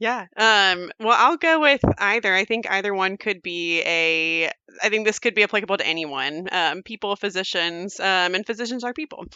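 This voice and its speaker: Speaking at a moderate pace with hardly any pauses, a woman has an unremarkable speaking voice, medium pitch and lively intonation. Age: 30s. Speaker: physician. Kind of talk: interview.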